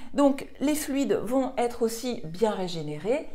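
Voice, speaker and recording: There is noticeable background noise and audible room echo as a woman speaks at a fairly high pitch. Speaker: nutrition and weight-loss coach. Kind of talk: online course explainer video.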